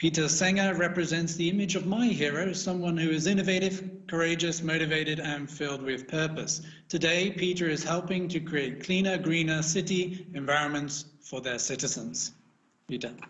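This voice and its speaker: Through audible room echo and noticeable background noise, a man with a British accent speaks at a moderate pace in a high voice with fairly even intonation. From Britain. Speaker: panel moderator. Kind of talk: panel moderation.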